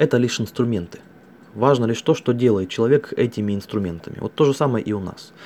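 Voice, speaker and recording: Speaking very fast, a man with a dark, mellow tone at medium pitch shows ordinary pitch variation. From Russia, Altai Krai. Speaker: network marketing distributor. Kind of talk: monologue recording.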